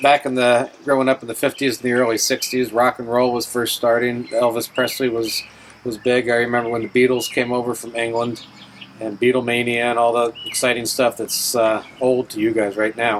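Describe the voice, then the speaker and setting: A man with an American accent talks at a fairly quick pace in a monotone, flat delivery over noticeable background noise. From New York State, near New York City. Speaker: navy veteran. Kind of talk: oral history interview.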